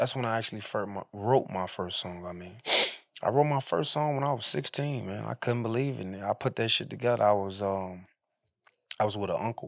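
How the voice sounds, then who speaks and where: A man's unremarkable speaking voice, fairly low in pitch, with ordinary pitch variation and a fairly quick pace. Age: 30s. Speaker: rapper. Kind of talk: casual chat.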